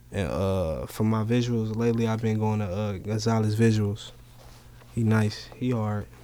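At a moderate pace, a dark, mellow tone carries fairly even intonation amid audible room echo. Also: man, fairly low pitch for a man. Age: 20s. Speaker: rapper. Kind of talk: casual chat.

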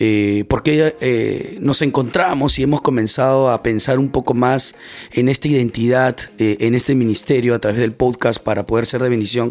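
At a moderate pace, a man speaks with very even loudness and a medium pitch. His intonation is fairly even. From Peru, Lima (Barranco). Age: 30s. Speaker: podcast host, church missions volunteer. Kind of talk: casual chat.

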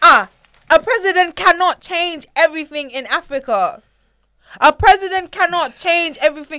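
Raised and projected, a woman's voice sounds animated and bright, sharp in tone, at an extremely high pitch. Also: ordinary pitch variation, moderate pace. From United Kingdom, African heritage. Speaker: podcast guest. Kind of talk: casual chat. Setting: studio.

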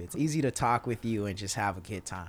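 A man talks with a Texas accent. His pitch swings very widely. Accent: Southern US (Texas). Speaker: drummer. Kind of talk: casual chat.

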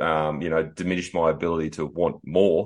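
Against a quiet background, a man speaks at a moderate pace. He talks with an Australian accent. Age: 40s. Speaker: podcast host and bodybuilding coach. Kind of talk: interview.

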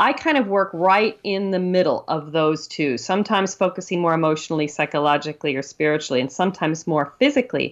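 Over a quiet background, a woman with a fairly low pitch races at a very fast pace with lively intonation and hardly any pauses. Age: 50s. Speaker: author on chakra healing. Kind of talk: interview.

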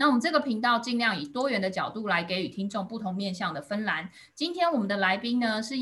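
A woman speaks at a fairly quick pace in a medium pitch. Her tone is bright and sharp, and her intonation is lively. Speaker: podcast host. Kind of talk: scripted intro and outro; interview conversation.

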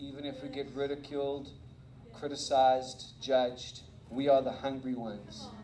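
A man with a South African accent speaks at a fairly high pitch and a moderate pace. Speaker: visiting preacher. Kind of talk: sermon. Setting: church. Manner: animated.

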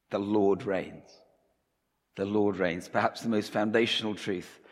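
This man has a fairly low pitch. He speaks at a fairly slow pace. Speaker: preacher. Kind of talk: sermon. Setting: church.

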